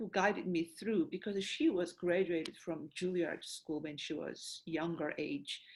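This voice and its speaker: A woman with a Korean accent speaks at a medium pitch with ordinary pitch variation. The recording is very clean, with a silent background. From South Korea. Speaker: opera singer and voice professor. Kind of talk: interview conversation. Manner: halting, many fillers.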